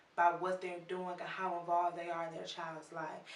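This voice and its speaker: Over noticeable background noise and audible room echo, a woman with an American accent speaks in a fairly low pitch with monotone, flat intonation. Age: 20s. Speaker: video blogger, interviewer. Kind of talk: video introduction.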